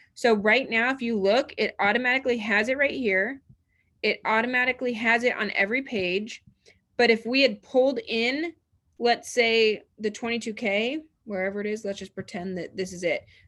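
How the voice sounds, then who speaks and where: In a very clean recording with a silent background, a woman speaks with a bright, sharp tone, a fairly high pitch and ordinary pitch variation. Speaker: real estate trainer. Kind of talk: tutorial. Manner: fast; animated.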